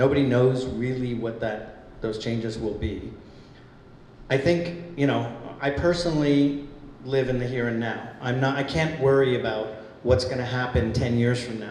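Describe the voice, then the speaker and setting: Recorded with noticeable background noise and audible room echo, a man speaks at a moderate pace. His pitch is medium, with ordinary variation. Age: 60s. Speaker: film producer. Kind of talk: panel discussion.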